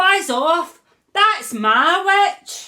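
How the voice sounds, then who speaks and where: Shrill, croaky and growling, a woman's put-on character voice rings out raised and projected at an extremely high pitch. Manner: aggressive, dismissive.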